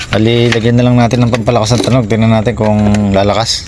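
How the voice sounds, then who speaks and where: A man talks with monotone, flat intonation, with audible room echo and noticeable background noise. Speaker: electronics repair vlogger. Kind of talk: repair tutorial. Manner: casual, filler-heavy.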